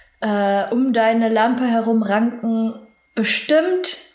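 A woman with a high pitch at a very slow pace, with audible room echo. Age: 20s. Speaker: university student. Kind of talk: casual chat.

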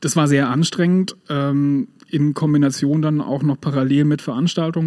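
A man at a fairly high pitch and moderate pace, over noticeable background noise. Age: 40s. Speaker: music club volunteer and furniture salesman. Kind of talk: casual interview.

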